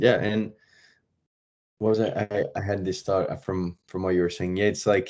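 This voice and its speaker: A man's fairly low, monotone, flat delivery in a French accent, at a moderate pace with long, frequent pauses. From France. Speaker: professional hockey player. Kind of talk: podcast interview.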